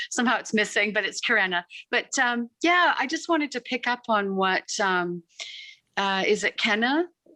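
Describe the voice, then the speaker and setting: A woman's fairly high, bright and sharp voice with lively intonation at a moderate pace, dry and close with no echo, in a very clean recording with a silent background. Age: 60s. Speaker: participant in online women's group. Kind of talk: personal sharing in group call.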